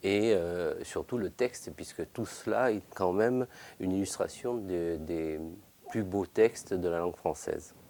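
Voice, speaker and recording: A man speaks fairly slowly with a fairly low pitch. His tone is dark and mellow, and his pitch varies in an ordinary way. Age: 50s. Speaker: bookbinder, workshop owner. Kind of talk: interview. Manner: halting, many hesitations.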